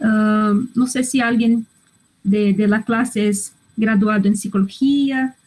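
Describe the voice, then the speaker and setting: A woman's fairly high, somewhat breathy voice with a non-native accent, very slow pace, fairly even intonation and very even loudness. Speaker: psychologist and medical school lecturer. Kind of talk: online lecture. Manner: halting, with hesitations and repetitions.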